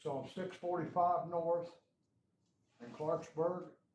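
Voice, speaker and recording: A man speaks at a high pitch and a very slow pace. His intonation stays fairly even. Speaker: resident at public meeting. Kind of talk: public comment. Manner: loud.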